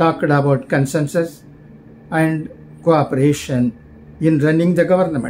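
A man's fairly high pitch with ordinary pitch variation, at a fairly slow pace, over music in the background. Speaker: channel host reading newspaper letters aloud. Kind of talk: newsreading, reading a newspaper letter aloud. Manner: formal, measured, steady newsreader delivery. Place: home room. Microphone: phone near.

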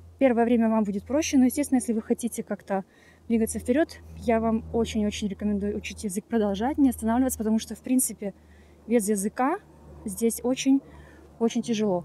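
A woman's somewhat breathy, dark and mellow voice, fairly high in pitch, with fairly even intonation, very fast delivery broken by long, frequent pauses, on a dry recording with no echo and light background noise. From Ukraine. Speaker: immigrant vlogger. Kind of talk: casual vlog monologue. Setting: outdoors, walking in a park. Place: open country. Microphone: phone near.

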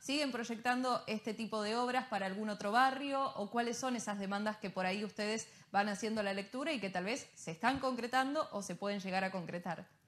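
Her pace fairly quick, the woman speaks with ordinary variation in pitch. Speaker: news presenter. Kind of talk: news broadcast. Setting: studio. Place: studio.

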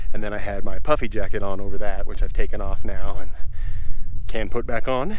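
Light background noise sits behind a man whose voice has a dry sound with no echo. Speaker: hiker vlogger. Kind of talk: casual vlog chat. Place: forest. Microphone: phone near.

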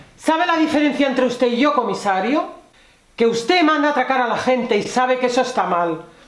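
A woman at a high pitch and moderate pace, with audible room echo. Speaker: actress in a drama scene. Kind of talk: scripted dramatic dialogue. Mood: threatening, contemptuous. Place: stage.

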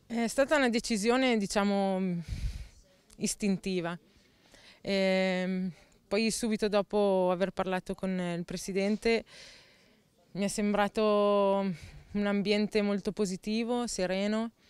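Speaking at a very slow pace with long, frequent pauses, a woman is heard in a dry sound with no echo. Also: medium pitch for a woman, fairly even intonation. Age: 20s. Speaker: footballer. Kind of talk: interview; interview answer. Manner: halting. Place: garden. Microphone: handheld.

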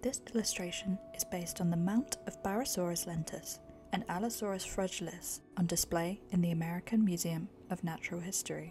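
Over music in the background, a soft-spoken woman talks at a fairly quick pace in a calm tone. Her pitch is fairly low and her intonation fairly even. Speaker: author reading her own self-published book. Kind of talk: ASMR book reading. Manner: soft-spoken, calm.

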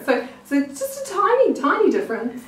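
Amid audible room echo, a woman speaks at a moderate pace in a high voice with big pitch swings.

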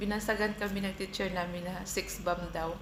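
Noticeable background noise and audible room echo surround the recording. A woman speaks at a fairly quick pace. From Philippines, Mindanao (Bisaya). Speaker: vlogger. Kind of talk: casual vlog storytelling. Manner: casual, eating while talking.

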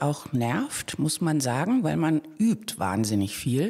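Speaking at a very slow pace, a woman with a dark, mellow tone is heard on a very clean recording against a silent background. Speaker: actor. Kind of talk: casual interview chat.

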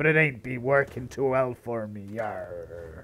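The man's delivery is fairly slow and medium in pitch. He is doing a put-on character voice. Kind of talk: pirate speech.

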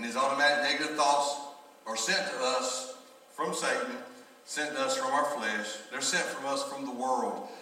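With audible room echo around him, a man talks at a moderate pace. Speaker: pastor. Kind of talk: sermon. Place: church.

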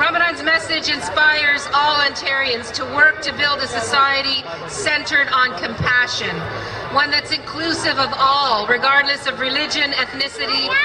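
Over noticeable background noise, a woman speaks in a raised, projected voice at a moderate pace with ordinary pitch variation. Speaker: politician giving a speech. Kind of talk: formal public speech. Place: stage.

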